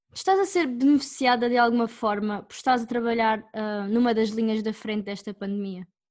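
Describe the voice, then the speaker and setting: In a plain, everyday voice, a woman speaks at fairly high pitch with ordinary pitch variation, hardly any pauses and big swings in loudness. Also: moderate pace. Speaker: reporter. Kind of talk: scripted narration.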